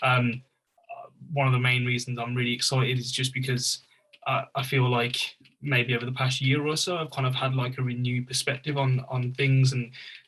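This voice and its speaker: Monotone, flat intonation runs through a man's fairly quick speech in a Birmingham accent. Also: medium pitch for a man. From Birmingham, England. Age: 20s. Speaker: youth engagement worker, panelist. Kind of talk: panel discussion.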